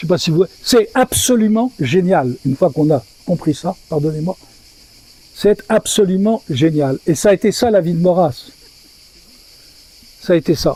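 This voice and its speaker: With a dry, close sound and no echo, a man speaks at a fairly slow pace in a high pitch, using lively intonation and long, frequent pauses. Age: 80s+. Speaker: lecturer at a literary meeting. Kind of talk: public talk. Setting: stage with audience. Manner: halting.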